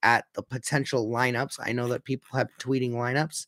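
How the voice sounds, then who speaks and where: A man with a medium-pitched voice speaks at a moderate pace on a very clean recording with a silent background. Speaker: hockey fan streamer. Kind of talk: live commentary. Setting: live stream. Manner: casual, hesitant with fillers.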